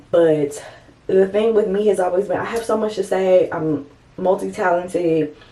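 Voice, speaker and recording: A woman at a medium pitch, her pitch varying in an ordinary way, comes through noticeable background noise. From US Midwest, St. Louis, Missouri. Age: 30s. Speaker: lifestyle and design vlogger. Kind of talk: casual vlog monologue. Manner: conversational with frequent fillers.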